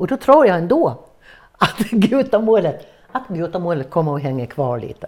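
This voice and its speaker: A woman talks at a moderate pace in a fairly low pitch. Her pitch swings very widely. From Gotland, Sweden. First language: Gutnish (gutamål) (speaking Swedish). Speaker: dialect performer. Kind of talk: interview.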